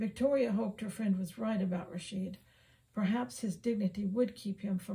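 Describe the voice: The clip is plain reading aloud. Nothing more is done with the words.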